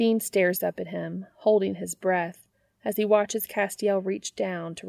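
The clip is plain reading aloud. Nothing is audible behind it.

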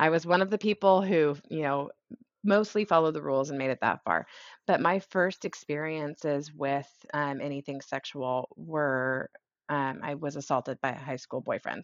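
Using an American accent, a woman with a very deep, low pitch speaks at a moderate pace with ordinary pitch variation. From rural Idaho. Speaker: podcast guest. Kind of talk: casual chat.

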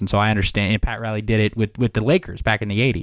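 At a very fast pace, a man with an American accent talks in a fairly low pitch with fairly even intonation. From Miami, Florida. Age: 20s. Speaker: sports podcast host. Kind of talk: casual chat.

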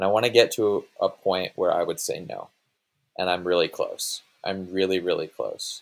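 Recorded very cleanly with a silent background, a man talks at a moderate pace. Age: 20s. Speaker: filmmaker. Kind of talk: casual chat.

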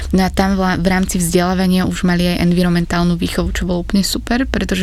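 Over noticeable background noise and audible room echo, a woman with a fairly low voice talks at a very fast pace. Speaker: climate activist. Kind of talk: interview.

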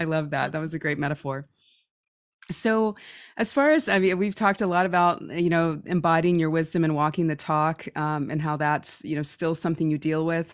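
A woman with a plain, everyday voice, fairly low in pitch, fairly quick, and with fairly even intonation. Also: very clean recording, silent background. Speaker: intuitive medium and podcast host. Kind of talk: interview chat.

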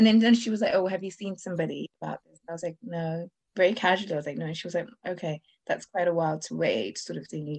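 Speaking at a very fast pace, a woman with a fairly low pitch shows vocal fry. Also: ordinary pitch variation. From Zimbabwe. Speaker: blogger and podcaster, fertility patient. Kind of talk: interview testimony. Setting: video call.

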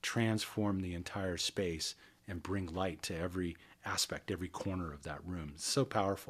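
Calm and relaxed, a man speaks at a moderate pace with a very deep, low pitch and fairly even intonation. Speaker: sound and energy healing expert. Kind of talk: guided meditation; interview. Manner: calm, relaxed.

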